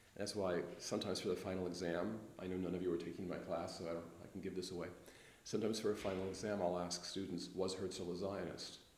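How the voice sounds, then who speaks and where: A man with an American accent talks at a very fast pace in a very deep, low voice. His intonation is monotone and flat, and the room echo is audible. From US West Coast, Los Angeles. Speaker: history professor. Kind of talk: interview.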